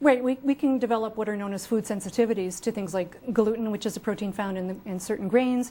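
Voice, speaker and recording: Very fast speech from a woman with a dark, mellow tone, a medium pitch and fairly even intonation. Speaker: health author and researcher. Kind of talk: TV interview. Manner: passionate.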